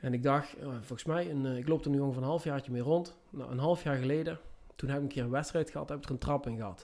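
This voice has a dark, mellow tone, ordinary pitch variation and a very fast pace. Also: man. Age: 30s. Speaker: construction worker. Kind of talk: casual interview. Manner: halting.

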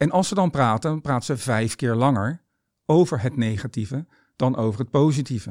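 On a very clean recording with a silent background and dry, close sound with no echo, a man speaks in a normal speaking voice at medium pitch, moderate pace and ordinary pitch variation. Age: 50s. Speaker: tennis coach and author. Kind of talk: monologue about mindset.

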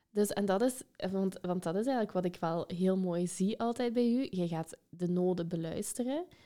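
Her loudness stays very even as this woman talks at a moderate pace and medium pitch with ordinary pitch variation. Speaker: podcast host and educator. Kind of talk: interview.

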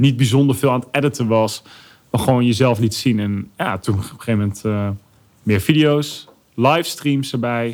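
The speaker has an ordinary speaking voice with ordinary pitch variation. The pace is moderate. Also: man, medium pitch for a man. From Netherlands, Arnhem. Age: 30s. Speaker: YouTuber and influencer. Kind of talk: podcast interview.

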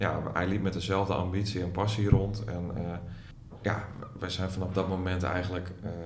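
Over noticeable background noise and audible room echo, a man with a Groningen accent speaks at a moderate pace and a fairly low pitch. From Groningen, northern Netherlands. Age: 30s. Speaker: artist manager and booker. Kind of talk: interview.

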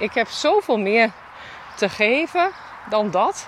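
An animated tone with very wide pitch swings over noticeable background noise. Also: woman. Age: 40s. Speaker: podcast host and shop owner. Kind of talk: solo podcast monologue. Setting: outdoors, walking in the mountains.

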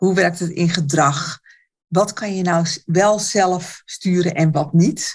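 Her pitch is fairly low and her voice somewhat breathy. The woman talks at a very slow pace with fairly even intonation. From Netherlands, Alkmaar. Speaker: therapist and coach. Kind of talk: casual interview chat.

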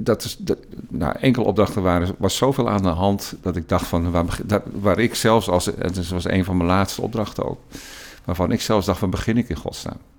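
Ordinary pitch variation marks this man's very deep, low voice. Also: moderate pace. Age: 60s. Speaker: interim school leader. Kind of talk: interview conversation.

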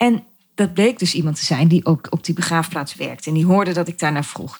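A woman's fairly low, somewhat breathy voice shows ordinary pitch variation. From Netherlands, Gelderland (Dieren). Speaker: podcast host, photographer and designer. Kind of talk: personal monologue.

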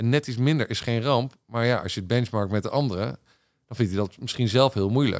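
A man's ordinary speaking voice, medium in pitch with ordinary variation, at a fairly quick pace, in a very clean recording with a silent background. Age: 40s. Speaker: business executive. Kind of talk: casual interview. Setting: studio.

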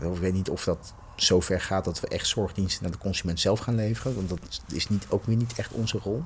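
At a moderate pace, a man speaks with a very deep, low pitch, ordinary pitch variation and a somewhat breathy quality. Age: 40s. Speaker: executive in health technology. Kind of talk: podcast interview. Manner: halting, many fillers.

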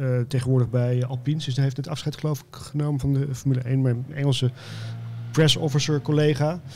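Speaking at a fairly quick pace, a man uses a medium-pitched, somewhat breathy voice with a dark, mellow tone and a flat, monotone delivery. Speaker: magazine editor, former press officer. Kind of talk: casual chat.

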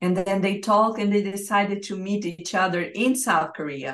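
A woman with a Portuguese accent. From Brazil. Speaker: life and business coach. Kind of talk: interview. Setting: remote call.

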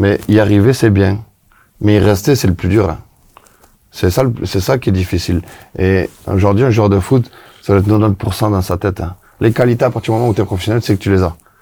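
A man's fairly low, dark, mellow voice at a moderate pace, somewhat breathy, with very even loudness, fairly even intonation and long, frequent pauses. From southwest France. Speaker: former footballer and coach. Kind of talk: casual chat.

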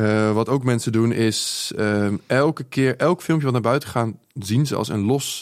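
A man's plain, everyday voice at a medium pitch, with ordinary pitch variation and a fairly slow pace. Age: 20s. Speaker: social media entrepreneur. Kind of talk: casual interview. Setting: studio.

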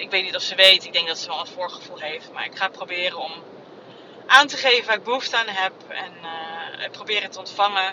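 At a very fast pace, a woman talks at a medium pitch with ordinary pitch variation over noticeable background noise. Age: 30s. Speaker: podcaster. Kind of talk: personal monologue. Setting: in a car. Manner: halting. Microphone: phone mic.

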